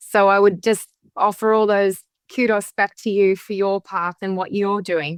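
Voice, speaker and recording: Speaking at a moderate pace with an Australian accent, a woman keeps her intonation fairly even. The sound is dry and close, with no echo. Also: medium pitch for a woman. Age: 50s. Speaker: witchcraft author and spiritual guide. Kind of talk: interview conversation. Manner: halting, with repetitions.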